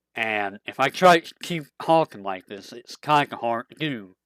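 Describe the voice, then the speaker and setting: Using a put-on character voice, a man sounds strained as he speaks at a moderate pace with lively intonation, the sound dry and close with no echo. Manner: pushing the voice to its lowest register.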